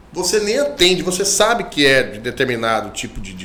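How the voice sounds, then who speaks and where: In a room with audible echo and noticeable background noise, a man speaks in an animated tone at a fairly high pitch with very wide pitch swings. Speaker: lawyer. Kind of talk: interview.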